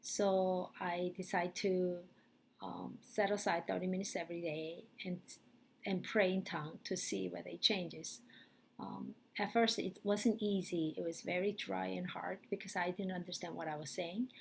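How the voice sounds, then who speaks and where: A woman with a Korean accent and vocal fry, fairly low in pitch, with fairly even intonation and a moderate pace. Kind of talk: testimony. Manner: halting, with frequent fillers.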